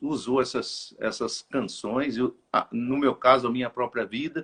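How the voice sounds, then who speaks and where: The pace is fairly slow. This man speaks at a medium pitch. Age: 60s. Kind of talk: interview. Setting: live stream interview.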